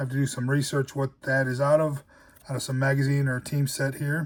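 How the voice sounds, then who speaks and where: The voice is somewhat breathy. The pace is fairly quick. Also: man. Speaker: collectibles YouTuber. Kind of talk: casual show-and-tell vlog.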